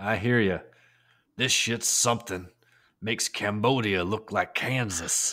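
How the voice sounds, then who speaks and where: Using a put-on character voice at medium pitch, a man speaks at a fairly slow pace with long, frequent pauses in a very clean recording with a silent background. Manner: gruff, macho.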